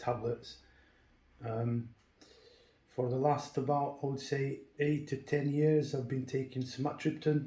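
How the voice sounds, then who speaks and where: This man has a dark, mellow tone that sounds somewhat breathy, and his intonation stays fairly even. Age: 40s. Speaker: builder, patient giving testimony. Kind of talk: testimony. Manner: halting, many fillers.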